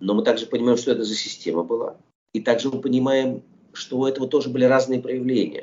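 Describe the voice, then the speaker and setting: The delivery is very fast. This man keeps his intonation fairly even. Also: medium pitch for a man. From Soviet Union (Russia). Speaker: film director. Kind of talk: interview.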